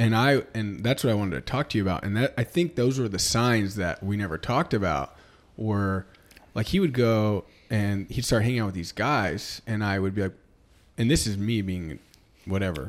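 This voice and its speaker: In an American accent, a man speaks in an unremarkable speaking voice, fairly low in pitch with lively intonation at a moderate pace. The recording is very clean, with a silent background. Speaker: podcast co-host, real estate agent. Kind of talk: casual chat.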